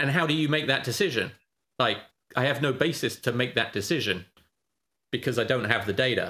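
A man with a British accent speaks at a fairly quick pace, medium in pitch with a bright, sharp tone. His pitch varies in an ordinary way, his loudness stays very even, and he leaves long, frequent pauses. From Britain. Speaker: options trader and trading educator. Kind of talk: casual interview.

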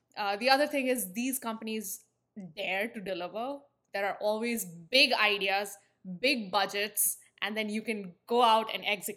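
A woman with an Indian accent, a fairly high pitch, a bright, sharp tone, fairly even intonation and a moderate pace. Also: very clean recording, silent background. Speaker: branding agency founder. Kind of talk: interview.

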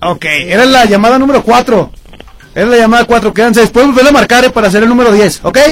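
Over noticeable background noise, a man with an extremely high pitch talks very fast, with ordinary pitch variation and very even loudness. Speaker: radio host. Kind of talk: radio show chat.

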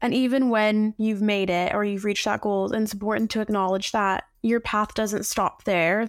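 A woman with a fairly high pitch speaks with hardly any pauses, in a monotone, flat intonation at very even loudness. The recording is very clean with a silent background, dry and close with no echo. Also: moderate pace. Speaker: podcast host. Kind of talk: interview podcast conversation.

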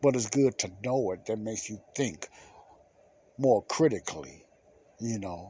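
With a fairly low pitch and a slightly husky edge to his dark, mellow tone, a man speaks at a fairly slow pace with lively intonation.

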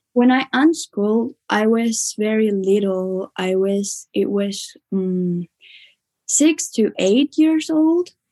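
Against a quiet background, a woman speaks very slowly at a fairly high pitch, her dark, mellow tone carrying lively intonation. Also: dry, close sound with no echo. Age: young. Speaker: youth education advocate. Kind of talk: interview.

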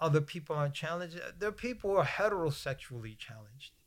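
Ordinary pitch variation marks the speech of a man with an American accent. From United States. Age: 60s. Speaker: Islamic scholar and imam. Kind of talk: interview discussion on religion. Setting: mosque room, filmed shoot.

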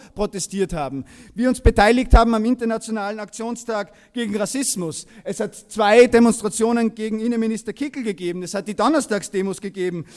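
On a very clean recording with a silent background, a man with a high pitch speaks at a fairly quick pace with hardly any pauses and ordinary pitch variation. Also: big swings in loudness. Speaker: political activist. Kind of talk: rally speech. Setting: stage with audience.

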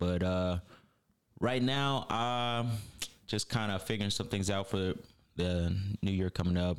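Recorded very cleanly with a silent background, a man speaks with an American accent. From US, New York / Las Vegas. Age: 20s. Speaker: podcast guest, auto glass worker and Marine reservist. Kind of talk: casual chat. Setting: studio.

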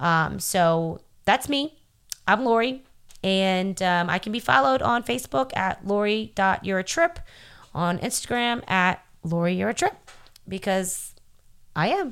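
At a fairly slow pace with long, frequent pauses, a speaker with an American accent uses lively intonation on a very clean recording with a silent background. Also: woman, medium pitch for a woman. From New Orleans, US South. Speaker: podcast co-host, mindfulness coach. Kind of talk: casual self-introduction.

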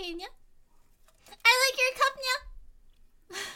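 A squeaky, playful put-on character voice at an extremely high pitch. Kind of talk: says nya at sentence ends. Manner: cute, little, playful.

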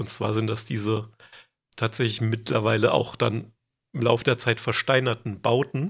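Somewhat breathy, a man talks at a moderate pace with a medium pitch. The recording is very clean, with a silent background. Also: fairly even intonation. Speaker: podcast co-host presenting lore research. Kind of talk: casual chat.

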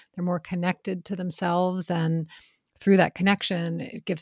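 Somewhat breathy and fairly low in pitch, a woman talks at a fairly quick pace in a dry, close sound with no echo. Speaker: sales coaching company co-founder. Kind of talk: casual Q&A interview.

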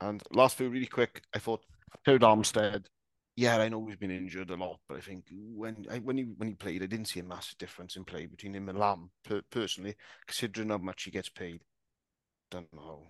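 A man with a Welsh accent talks at a fairly quick pace, his fairly low pitch showing ordinary variation. His loudness swings widely against a quiet background. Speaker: podcast guest, Dolphins fan. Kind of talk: casual chat.

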